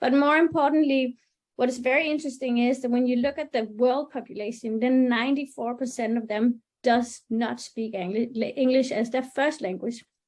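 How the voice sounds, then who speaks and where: She speaks at a moderate pace in a high pitch with fairly even intonation. The background is quiet. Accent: Danish. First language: Danish. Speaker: webinar moderator. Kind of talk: webinar panel discussion. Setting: online webinar.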